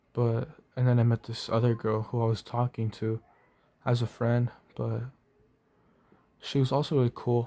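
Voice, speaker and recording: A man's dark, mellow, medium-pitched voice with flat, monotone intonation. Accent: Spanish. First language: Spanish. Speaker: vlogger. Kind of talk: personal testimony. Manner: halting.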